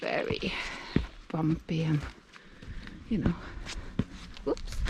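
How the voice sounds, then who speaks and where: A woman with a Norwegian accent speaks with fairly even intonation over noticeable background noise. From Norway, Oslo. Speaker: nature vlogger. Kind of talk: casual vlog narration while hiking. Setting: outdoors, hiking in forest. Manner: casual, hesitant with fillers; slightly breathless while walking.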